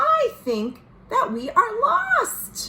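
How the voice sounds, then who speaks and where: A woman puts on a character voice. It comes out squeaky. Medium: read story. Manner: gentle, kind.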